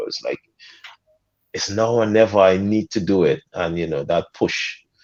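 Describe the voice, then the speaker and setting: In a Guyanese accent, the speaker talks at a moderate pace with ordinary pitch variation against a quiet background. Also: man. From Guyana. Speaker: soca artist. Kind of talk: podcast interview. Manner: animated.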